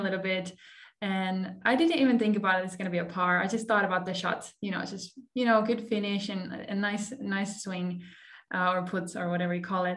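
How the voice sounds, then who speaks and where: A woman with a medium pitch speaks at a fairly quick pace with fairly even intonation. Noticeable background noise and audible room echo surround her voice. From Finland. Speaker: podcast host and beach volleyball player. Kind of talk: scripted intro; casual interview.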